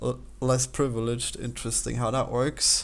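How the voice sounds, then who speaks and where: A man with an Austrian accent talks at a moderate pace. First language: German. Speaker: game developer and let's player. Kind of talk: casual commentary while taking an online quiz. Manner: halting, with frequent repetitions.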